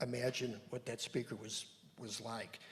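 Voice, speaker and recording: This man's voice is somewhat breathy. He talks at a moderate pace. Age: 70s. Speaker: church member presenting on a conference. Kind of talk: panel presentation to congregation. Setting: church service with audience, handheld mic. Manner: halting, with many fillers.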